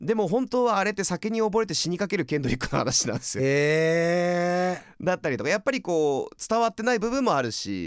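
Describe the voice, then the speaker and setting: A high-pitched man with very wide pitch swings and a moderate pace, in a very clean recording with a silent background and a dry, close sound with no echo. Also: hardly any pauses. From California. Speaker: podcast host presenting music artists. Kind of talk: casual chat.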